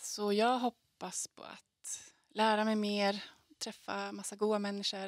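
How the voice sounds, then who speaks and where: Against a quiet background, a woman speaks very slowly with long, frequent pauses and big swings in loudness, in a dry sound with no echo. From Skellefteå, Västerbotten, northern Sweden; Västerbotten, Sweden. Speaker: singer-songwriter. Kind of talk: interview answers. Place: studio. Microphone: handheld.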